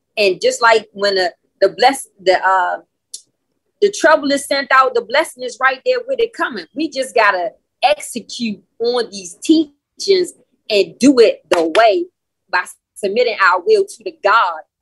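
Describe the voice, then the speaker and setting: This woman talks fairly slowly at a high pitch, her voice making very wide pitch swings and big swings in loudness. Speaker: call participant. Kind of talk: testimony. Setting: video call.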